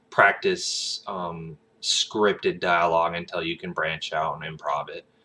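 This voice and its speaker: A man with a Southern US accent, heard over noticeable background noise. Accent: Southern country. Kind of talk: casual, drawling.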